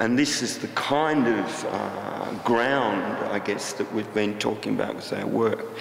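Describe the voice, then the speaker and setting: With hardly any pauses, a man speaks in an Australian accent amid audible room echo and noticeable background noise. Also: medium pitch for a man, ordinary pitch variation, fairly slow pace. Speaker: artist. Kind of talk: talk to an audience. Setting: stage with audience. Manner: halting.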